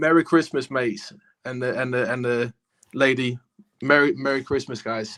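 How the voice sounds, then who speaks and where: An ordinary speaking voice comes at a moderate pace with fairly even intonation. The sound is dry and close, with no echo. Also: man. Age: young. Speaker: caller. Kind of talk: casual chat.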